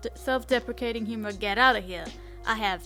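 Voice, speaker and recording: Music sits in the background. The woman's delivery is very fast. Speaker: bullet journal content creator. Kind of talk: casual voiceover for a craft video.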